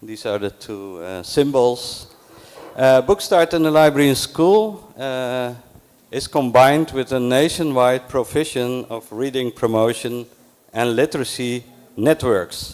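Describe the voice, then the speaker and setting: A man with a Dutch accent at a very slow pace, with lively intonation, big swings in loudness and long, frequent pauses. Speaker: library program coordinator. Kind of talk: conference talk. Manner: slow, deliberate; halting.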